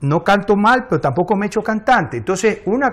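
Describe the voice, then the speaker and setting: A man with a high-pitched voice speaks with lively intonation over a quiet background. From Ecuador. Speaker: engineer and politician; politician. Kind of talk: interview. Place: studio. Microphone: lapel.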